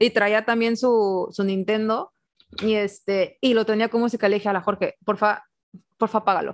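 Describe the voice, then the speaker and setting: Against a quiet background, a woman speaks with a fairly high pitch and ordinary pitch variation. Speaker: podcast co-host. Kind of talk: casual chat. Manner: stutters when rushing thoughts.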